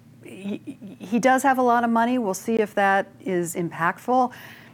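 With an American accent, a woman speaks at a very slow pace. Her pitch shows ordinary variation. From Gunnison, Colorado. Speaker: business newspaper editor. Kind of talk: panel discussion.

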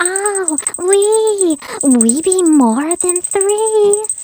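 A hissing, put-on character voice sits at an extremely high pitch.

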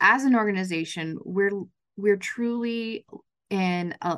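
A woman with a General American accent speaks in a normal speaking voice at medium pitch. Her pace is fairly slow, her pitch variation ordinary, and the background quiet. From western Colorado, Grand Junction. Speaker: chamber of commerce CEO. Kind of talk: interview.

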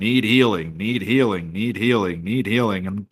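Putting on a character voice, a man with a fairly low pitch speaks at a moderate pace against noticeable background noise. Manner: repetitive, robotic announcement.

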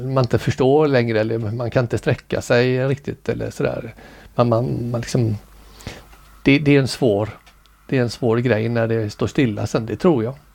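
A man with an ordinary speaking voice talks at a moderate pace and medium pitch, with fairly even intonation. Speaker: amateur ballroom dancer. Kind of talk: casual interview.

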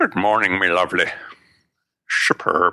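A put-on character voice at a moderate pace, with a quiet background.

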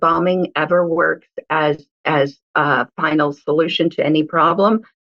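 The speaker has an unremarkable speaking voice and an American accent. The pace is fairly slow. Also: woman, very even loudness. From Israel, then US. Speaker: guest commentator. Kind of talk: interview. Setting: phone call.

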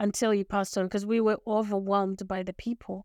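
A woman speaks in a very clean recording with a silent background. Her sound is dry and close, with no echo. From Zimbabwe. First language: Shona. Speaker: lawyer, leadership coach and author. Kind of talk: interview.

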